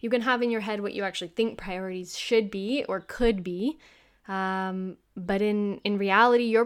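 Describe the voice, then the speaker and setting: Against a silent background in a very clean recording, a woman speaks at a moderate pace with a fairly high pitch and ordinary pitch variation. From US, Kentucky. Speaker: podcast host, hiker. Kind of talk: casual personal monologue. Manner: hesitant with fillers.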